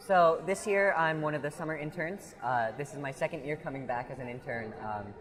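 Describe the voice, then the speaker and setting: A man talks with a plain, everyday voice at a fairly high pitch. His delivery has ordinary pitch variation and hardly any pauses. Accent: American. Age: 20s. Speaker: fair volunteer and intern. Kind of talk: casual interview. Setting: outdoors at a fair.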